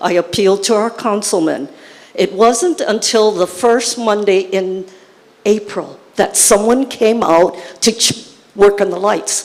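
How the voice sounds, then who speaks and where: Against noticeable background noise, the voice moves at a fairly slow pace with ordinary pitch variation. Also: woman, medium pitch for a woman. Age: 80s+. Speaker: resident asking a question. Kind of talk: public complaint at town hall. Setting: school town hall meeting with audience.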